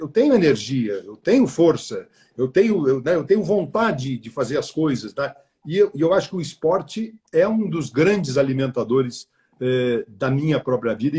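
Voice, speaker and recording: A man's fairly high voice, somewhat breathy and dark and mellow in tone, with lively intonation at a moderate pace. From southern Brazil, Porto Alegre. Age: 60s. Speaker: retired media executive. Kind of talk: interview on a live stream. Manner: halting, many repeated words.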